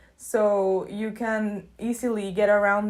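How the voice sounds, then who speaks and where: A woman talks with a Spanish accent. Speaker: YouTuber, student. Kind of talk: casual vlog talk.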